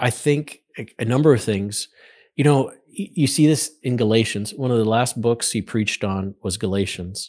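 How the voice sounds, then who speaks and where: A man with an American accent and an unremarkable speaking voice, ordinary pitch variation, on a very clean recording with a silent background. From Western Pennsylvania. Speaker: college president and church historian. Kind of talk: interview.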